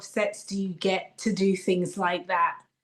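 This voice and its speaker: A woman speaks with a British accent. Her pace is fairly slow. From Britain. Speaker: actress. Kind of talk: interview.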